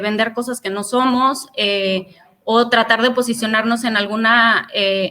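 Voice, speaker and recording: A woman's fairly high voice, bright and sharp in tone, with fairly even intonation. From Mexico. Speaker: career speaker. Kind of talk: webinar talk. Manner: hesitant, many fillers.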